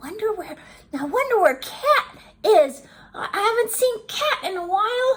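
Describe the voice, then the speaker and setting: A put-on character voice at an extremely high pitch and a moderate pace. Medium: read story.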